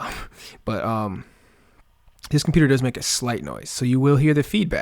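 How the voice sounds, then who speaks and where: In a very clean recording with a silent background, a man talks at a moderate pace with lively intonation and long, frequent pauses. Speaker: music producer teaching beat making. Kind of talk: tutorial. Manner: casual, halting with many fillers.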